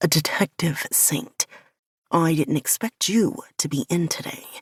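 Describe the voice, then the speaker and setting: In a put-on character voice, the speaker uses a middle pitch at a fairly slow pace. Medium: read story. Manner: terse, controlled.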